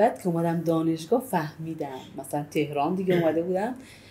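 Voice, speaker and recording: Speaking at a fairly quick pace, a woman with an Arabic accent has a fairly low pitch, a dark, mellow tone and a somewhat breathy sound. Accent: Arabic accent in Persian. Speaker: Arabic language teacher. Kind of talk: casual chat.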